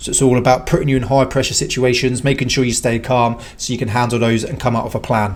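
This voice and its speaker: A man with a British accent speaks very fast, with hardly any pauses. His intonation is monotone and flat, and noticeable background noise is present. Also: medium pitch for a man. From UK. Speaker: British army veteran reacting to videos. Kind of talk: reaction commentary.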